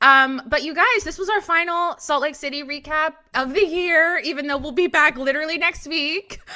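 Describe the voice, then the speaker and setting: Projecting her voice in an American accent, a woman with a high pitch speaks at a moderate pace with ordinary pitch variation and hardly any pauses, while noticeable background noise plays behind her. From United States. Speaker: podcast host. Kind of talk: casual chat.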